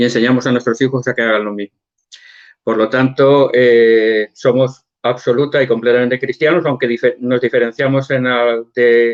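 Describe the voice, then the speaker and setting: A man speaks at a moderate pace in a medium pitch. His intonation stays flat and monotone. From Spain. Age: 60s. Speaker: church member guest. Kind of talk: interview.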